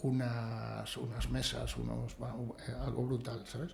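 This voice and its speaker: A man talks over noticeable background noise. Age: 60s. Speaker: builder and real estate agent. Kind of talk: podcast interview.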